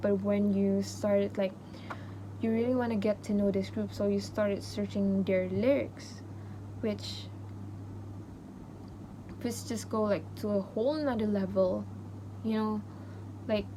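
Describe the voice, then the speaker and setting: A woman with a non-native accent talks at a fairly slow pace, leaving long, frequent pauses. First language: not English. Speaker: university student. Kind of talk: casual podcast talk to camera.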